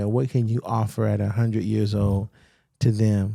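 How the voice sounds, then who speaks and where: A man's dark, mellow tone unfolds at a fairly slow pace. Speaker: podcast host. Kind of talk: interview questions.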